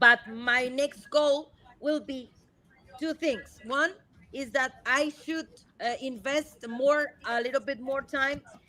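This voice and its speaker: A woman speaks in a Spanish accent. Her pitch is high, and her intonation stays fairly even. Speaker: marine conservationist. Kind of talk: live Q&A interview. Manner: halting, many repeats and fillers.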